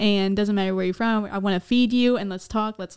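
A woman at medium pitch with an unremarkable speaking voice, ordinary pitch variation and a fairly quick pace, on a very clean recording with a silent background. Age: 20s. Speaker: podcast host. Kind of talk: casual chat.

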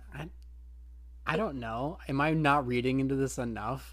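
Audible room echo surrounds a voice speaking at a fairly slow pace. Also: man. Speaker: anime podcast co-host. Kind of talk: casual chat.

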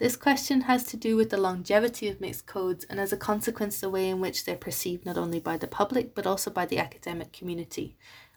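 In a very clean recording with a silent background, a woman with an Irish accent talks very fast at a medium pitch. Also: ordinary pitch variation, hardly any pauses. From Ireland. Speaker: university student. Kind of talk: scripted talk.

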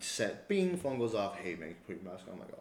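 A man is speaking. Room echo is audible. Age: 30s. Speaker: personal trainer and boxing coach. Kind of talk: casual chat.

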